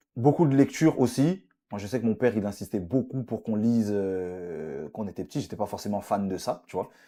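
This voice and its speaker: A man speaks at a fairly quick clip with a dark, mellow tone, a fairly low pitch and lively intonation, recorded very cleanly against a silent background. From France, Paris suburbs. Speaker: presenter and podcaster. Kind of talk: interview. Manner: hesitant, many fillers.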